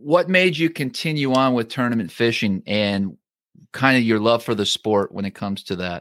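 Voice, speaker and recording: A man's medium-pitched voice with lively intonation at a moderate pace, dry and close with no echo, on a very clean recording over a silent background. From Canada. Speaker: fishing podcast host. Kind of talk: casual interview.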